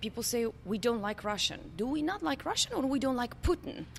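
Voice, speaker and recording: A woman's high-pitched, fairly quick speech with lively intonation and a Polish accent. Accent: Eastern European, Polish. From Poland. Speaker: company CEO. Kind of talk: podcast interview.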